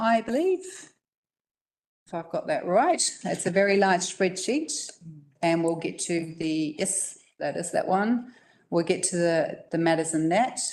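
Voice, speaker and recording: A woman with a New Zealand accent speaks at a medium pitch with lively intonation. She leaves long, frequent pauses. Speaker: council staff member presenting policy. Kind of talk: council briefing presentation. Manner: fast.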